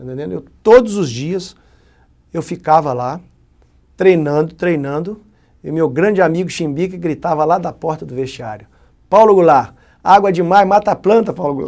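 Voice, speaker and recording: Against a quiet background, a man with a high pitch and ordinary pitch variation speaks at a moderate pace, his loudness swinging widely and his speech broken by long, frequent pauses. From Minas Gerais, Brazil (Muriaé); Minas Gerais, Brazil. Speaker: retired football goalkeeper. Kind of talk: interview. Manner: halting. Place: studio. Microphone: lapel.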